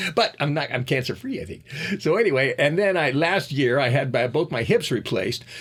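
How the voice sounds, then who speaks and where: The man's voice has a somewhat breathy quality. He keeps a fairly quick pace. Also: fairly high pitch for a man, lively intonation. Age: 70s. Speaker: martial arts teacher and podcast host. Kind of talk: casual monologue podcast. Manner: rambling, halting with many restarts.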